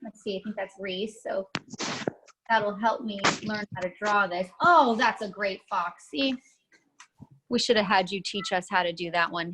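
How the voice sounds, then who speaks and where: Leaving long, frequent pauses, a woman talks at a fairly slow pace with a medium pitch and ordinary pitch variation. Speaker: art teacher for kids. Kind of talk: online kids' drawing class. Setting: video call. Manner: animated.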